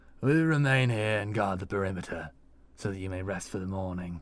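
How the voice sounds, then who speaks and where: Using a put-on character voice, a man speaks at a fairly quick pace. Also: fairly low pitch for a man, ordinary pitch variation. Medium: read story. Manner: warm, steady.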